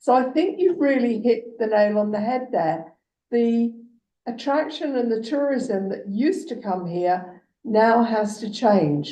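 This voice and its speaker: Over audible room echo, a woman with an English accent speaks at a fairly slow pace and fairly high pitch, her dark, mellow tone moving in very wide pitch swings. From England. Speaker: municipal councillor. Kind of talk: council meeting discussion.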